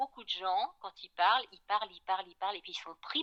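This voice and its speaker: Dry and close with no echo, a woman's bright, sharp voice of medium pitch moves at a fairly quick pace. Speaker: voice coach. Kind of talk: interview answer.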